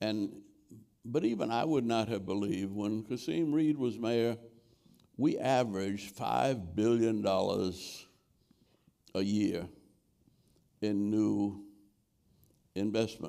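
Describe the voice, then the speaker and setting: A man talks at a very slow pace with a fairly low pitch, ordinary pitch variation, and a dark, mellow tone. Long, frequent pauses break up his speech over a quiet background. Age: 80s+. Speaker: former mayor and civil rights leader; former mayor. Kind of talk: interview answer. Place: stage.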